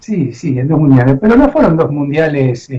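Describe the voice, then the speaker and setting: Very wide pitch swings run through a man's dark, mellow tone. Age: 60s. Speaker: radio host. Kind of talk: radio interview.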